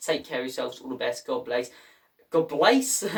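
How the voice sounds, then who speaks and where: With a northern English accent, a man speaks at a fairly quick pace. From northern England, Irish heritage. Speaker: football YouTuber. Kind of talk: casual vlog commentary. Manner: animated.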